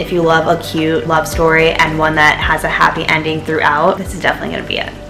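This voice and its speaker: Noticeable background noise sits behind the recording. A woman speaks fairly quickly over it. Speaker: book vlogger. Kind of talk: casual chat. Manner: fast; animated.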